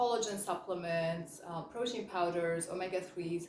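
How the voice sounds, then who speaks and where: A woman talks at a moderate pace with ordinary pitch variation, over noticeable background noise and audible room echo. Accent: slight French. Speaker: chemist and health coach. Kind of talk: educational vlog. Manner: casual, with fillers.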